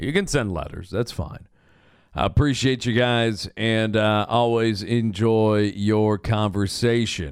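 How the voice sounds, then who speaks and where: A man talks very slowly, captured in a very clean recording where the background is silent. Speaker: radio sports host. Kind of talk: radio dj patter: upbeat station promos, weather and sports rundowns. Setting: studio.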